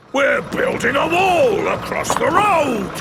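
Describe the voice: Over clear background noise, a man does a cartoonish character voice at an extremely high pitch and a fairly slow pace.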